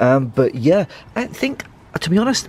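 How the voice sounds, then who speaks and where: The recording sounds dry with no echo as a man talks at a moderate pace. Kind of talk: casual vlog chat. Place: garage.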